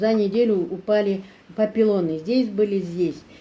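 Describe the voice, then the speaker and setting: Fairly even intonation at a medium pitch from a female speaker. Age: 60s. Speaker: product customer. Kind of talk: testimony. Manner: halting.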